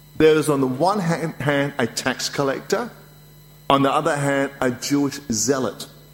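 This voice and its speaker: Over noticeable background noise, a man talks at a fairly high pitch with very even loudness. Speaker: preacher. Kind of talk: sermon. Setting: church.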